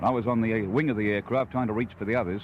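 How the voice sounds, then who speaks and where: A man talks with an Australian accent. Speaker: survivor of a plane crash giving a news interview. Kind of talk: radio news interview answer.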